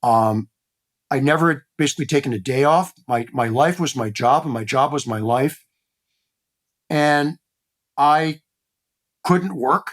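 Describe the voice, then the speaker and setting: A man with a Midwestern accent, fairly high in pitch with ordinary variation, at a fairly slow pace with long, frequent pauses, on a very clean recording with a silent background. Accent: American Midwest. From US Midwest, Cleveland, Ohio. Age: 60s. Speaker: former beauty industry executive. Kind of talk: podcast interview.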